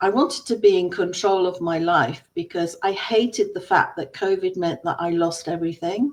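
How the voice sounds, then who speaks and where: A woman's medium-pitched voice in an English accent, with lively intonation, a moderate pace and hardly any pauses. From England. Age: 60s. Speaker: business coach. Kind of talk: personal story.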